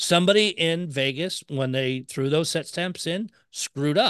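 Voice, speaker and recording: Over a quiet background, a man with a plain, everyday voice talks at a moderate pace with ordinary pitch variation. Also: dry, close sound with no echo. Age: 40s. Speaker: podcast host. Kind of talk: casual chat.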